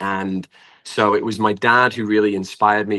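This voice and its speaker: With a British accent, a man talks at a moderate pace in a fairly low pitch and a bright, sharp tone, over a quiet background. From England. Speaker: singer-songwriter. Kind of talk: interview.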